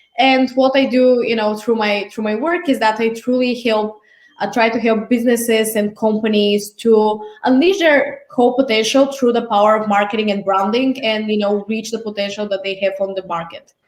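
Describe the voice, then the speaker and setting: With a Bulgarian accent, the speaker keeps a moderate pace and fairly even intonation. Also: woman, fairly high pitch for a woman. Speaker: marketing specialist. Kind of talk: casual interview.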